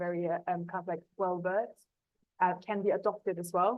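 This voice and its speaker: Talking at a fairly quick speed, a woman speaks in a German accent. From Germany. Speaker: academic researcher in sustainable fashion. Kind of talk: panel talk.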